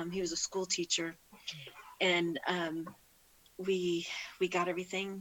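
Monotone, flat intonation marks speech delivered at a moderate pace. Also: woman. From California. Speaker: parishioner sharing faith story. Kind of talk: casual interview.

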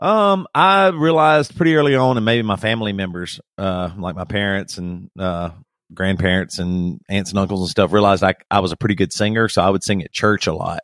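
A man with an American accent speaks at a fairly quick pace in a normal speaking voice, his pitch fairly low. The sound is dry and close with no echo, and his pitch varies in an ordinary way. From US South. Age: 40s. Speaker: rock band singer. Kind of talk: casual interview. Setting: remote call.

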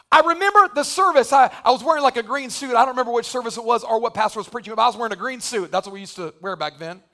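A raised, projected voice with a bright, sharp tone races along at a very fast pace with hardly any pauses. Its intonation is lively, and its loudness swings widely. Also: man, extremely high pitch for a man. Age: 40s. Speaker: pastor. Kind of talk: sermon. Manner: animated.

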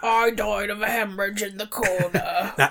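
A put-on character voice at a moderate pace. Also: woman, medium pitch for a woman.

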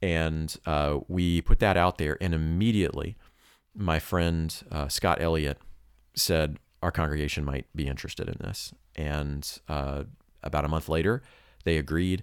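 A man with an American accent and a very deep, low voice, at a moderate pace with fairly even intonation, on a very clean recording with a silent background. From US South. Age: 30s. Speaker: missionary preacher and podcast co-host. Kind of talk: casual chat.

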